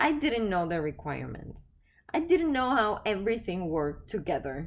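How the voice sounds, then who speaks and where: With a non-native accent, a woman speaks at a moderate pace and medium pitch, her voice making very wide pitch swings. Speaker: podcast host and life coach. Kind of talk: reflective solo podcast talk.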